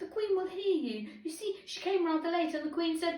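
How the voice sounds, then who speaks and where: A woman uses a put-on, squeaky character voice at an extremely high pitch with a timid tone. She talks at a moderate pace. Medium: read story. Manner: timid, hurried, low.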